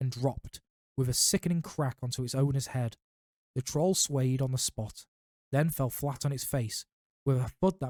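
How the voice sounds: Someone reads in a natural reading voice against a quiet background.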